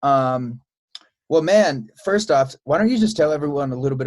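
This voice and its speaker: A man with a plain, everyday voice and an American accent, at a moderate pace with lively intonation. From Chicago. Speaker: podcast host and musician. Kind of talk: casual interview chat.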